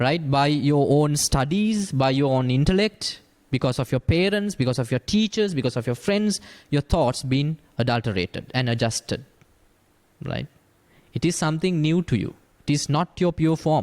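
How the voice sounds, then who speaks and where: On a very clean recording with a silent background and a dry, close sound with no echo, a man with a Sri Lankan accent speaks at a moderate pace, his fairly high voice full of lively intonation. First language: Sinhala. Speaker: Buddhist monk. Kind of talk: dhamma discussion.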